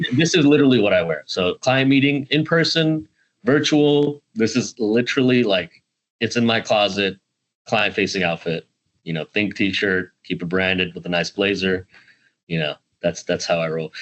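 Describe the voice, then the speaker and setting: With lively intonation, a man talks in a normal speaking voice at a medium pitch. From US (Indiana, Georgia). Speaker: tech sales specialist, former National Guard. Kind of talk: casual podcast interview. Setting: video call.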